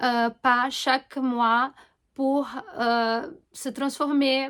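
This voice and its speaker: In a very clean recording with a silent background, a woman with a Portuguese accent speaks at a very slow pace, her high voice monotone and flat. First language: Portuguese (speaking French). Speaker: astrologer and holistic coach. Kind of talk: informal explanatory monologue to camera. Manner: hesitant, many fillers and self-corrections.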